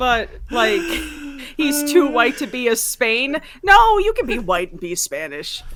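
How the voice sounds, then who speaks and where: Against noticeable background noise, a woman with an American accent and a high pitch speaks at a fairly slow pace, with very wide pitch swings and big swings in loudness. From New York. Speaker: podcast co-host. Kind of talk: casual chat.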